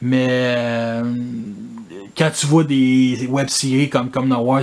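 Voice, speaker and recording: In a Quebec accent, the speaker goes at a very slow pace with monotone, flat intonation. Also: man. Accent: Québécois French. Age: 30s. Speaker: toy collector YouTuber. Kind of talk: casual improvised monologue. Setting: in front of his toy collection. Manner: casual, filler-heavy.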